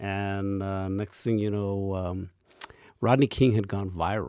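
On a very clean recording with a silent background, a man with an American accent speaks at a fairly slow pace in a dark, mellow tone, his fairly low pitch held in a flat monotone. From Mexican American. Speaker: TV interview host. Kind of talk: interview.

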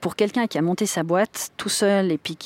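This woman has an ordinary speaking voice at medium pitch with ordinary pitch variation, heard in a dry, close sound with no echo. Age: 40s. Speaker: board member and digital transformation consultant. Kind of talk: interview.

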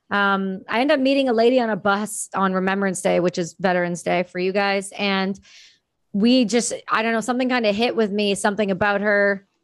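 With a Canadian accent, a woman speaks in an ordinary speaking voice at medium pitch, with fairly even intonation and a fairly quick pace, on a very clean recording with a silent background. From Ontario, Canada. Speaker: war veteran. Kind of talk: casual interview chat.

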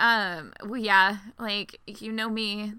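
A woman with an American accent speaks at medium pitch in a bright, sharp tone with ordinary pitch variation. The recording is very clean with a silent background. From US South. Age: 20s. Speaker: podcast host. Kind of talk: casual chat.

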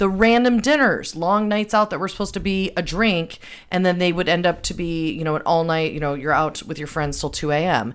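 A woman uses an ordinary speaking voice with lively intonation. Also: fairly low pitch for a woman, fairly quick pace. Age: 40s. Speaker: podcast host, media coach. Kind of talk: casual chat.

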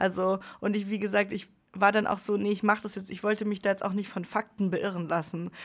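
A woman speaks at a fairly quick pace and medium pitch. Her intonation is monotone and flat. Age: 20s. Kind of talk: casual interview. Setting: studio.

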